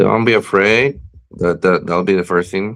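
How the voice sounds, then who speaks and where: A man with a Spanish accent and ordinary pitch variation. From Puerto Rico. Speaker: professional wrestler. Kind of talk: interview. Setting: live-streamed video show. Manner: halting, many fillers and repeats.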